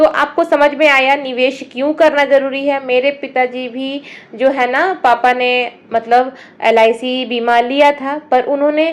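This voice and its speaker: A woman speaks loudly at a high pitch. Her intonation stays fairly even. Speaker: housewife vlogger giving money-saving advice. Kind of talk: casual advice vlog talk to camera. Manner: loud, raised voice.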